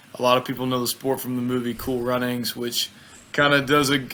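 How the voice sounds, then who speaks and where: Speaking at a fairly quick pace, a man with a Southern US accent keeps a medium pitch and a monotone, flat intonation over noticeable background noise. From US South, Mississippi. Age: 20s. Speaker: bobsled athlete. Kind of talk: interview. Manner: casual.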